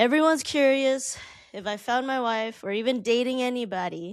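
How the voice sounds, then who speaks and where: On a very clean recording with a silent background, a woman speaks at a fairly slow pace in an animated tone with ordinary pitch variation. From US West Coast, Oakland. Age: 30s. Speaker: podcaster. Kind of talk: casual monologue.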